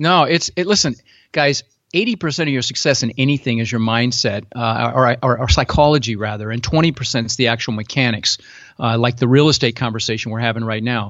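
In a General American accent, a man with an ordinary speaking voice talks at a fairly quick pace, with a medium pitch and ordinary pitch variation. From Netherlands-born, raised in Denver, US. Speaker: real estate investor. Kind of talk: interview.

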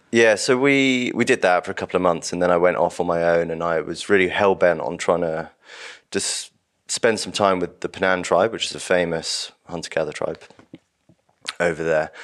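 Over a quiet background, a man with a southern English accent and a very deep, low pitch talks at a moderate pace. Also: ordinary pitch variation. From London, southern England. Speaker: hunting course founder. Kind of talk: casual interview.

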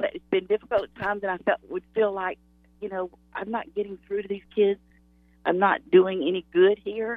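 The speaker has a plain, everyday voice and moves at a moderate pace. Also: woman, medium pitch for a woman, fairly even intonation, big swings in loudness. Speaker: Sunday school teacher. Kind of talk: testimony. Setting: phone call.

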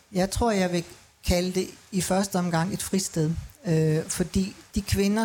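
A woman's fairly low voice with fairly even intonation, against noticeable background noise. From Denmark. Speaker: manager of a women's centre. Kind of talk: panel discussion. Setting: live broadcast at a city festival.

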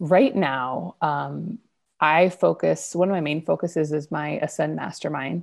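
A woman speaks with an American accent at a fairly slow pace. The background is quiet. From US Northwest (Idaho). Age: 30s. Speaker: online marketing strategist and business coach. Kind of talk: interview conversation. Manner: loud, big personality; calmer, trying to sound professional.

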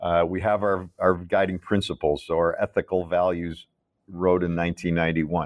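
The speech moves at a moderate pace in a Midwestern American accent. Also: man. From US Midwest, Chicago. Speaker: restaurant business co-founder. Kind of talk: interview conversation.

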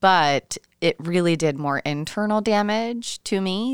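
In a dry, close sound with no echo, a woman with a plain, everyday voice speaks fairly slowly at a fairly low pitch, her intonation lively. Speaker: podcast host and breast cancer survivor. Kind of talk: interview conversation. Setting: remote call across time zones.

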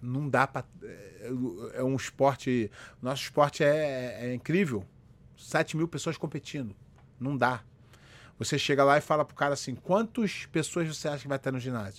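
In a very clean recording with a silent background, a man with a fairly high pitch talks at a moderate pace, using ordinary pitch variation, big swings in loudness and long, frequent pauses. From Rio de Janeiro, Brazil. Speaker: jiu-jitsu instructor and live-stream host. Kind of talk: casual live-stream chat. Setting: solo live video stream. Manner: animated.

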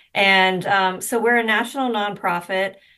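A woman's bright, sharp tone at a moderate pace, with ordinary pitch variation. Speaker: nonprofit executive director. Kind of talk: sponsor segment interview.

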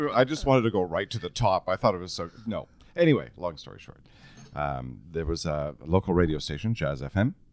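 A man's very deep, low voice at a fairly quick pace, with vocal fry, very wide pitch swings and big swings in loudness. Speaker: real estate radio host and former paramedic. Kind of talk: casual chat. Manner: projects loudly.

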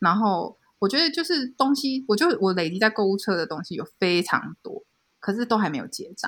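With a Taiwanese accent, a woman's fairly high voice moves through very wide pitch swings. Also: fairly quick pace. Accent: Taiwanese Mandarin. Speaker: illustrator. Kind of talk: casual chat.

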